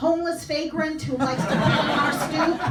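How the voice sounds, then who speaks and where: In a New York accent, a woman speaks at a high pitch, with audible room echo and noticeable background noise. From New York, Queens. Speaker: comedian. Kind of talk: stand-up. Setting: stage with audience.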